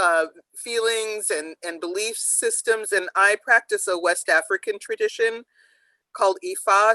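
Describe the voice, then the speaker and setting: A woman speaks at a fairly slow pace against a quiet background, with a dry, close sound and no echo. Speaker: author. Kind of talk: panel discussion remembrance.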